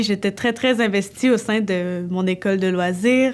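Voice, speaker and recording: A woman's mid-pitched voice moves very slowly, with intonation that stays fairly level. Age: 20s. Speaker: dance student. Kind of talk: personal testimony. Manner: hesitant, with fillers.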